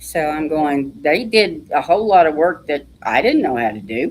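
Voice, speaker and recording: A woman speaks with a Texan accent. Her pitch swings very widely. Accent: Texan twang. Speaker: author. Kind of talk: interview.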